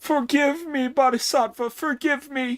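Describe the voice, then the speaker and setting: A put-on character voice speaks in a high pitch. The pace is moderate. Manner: shouting, pleading.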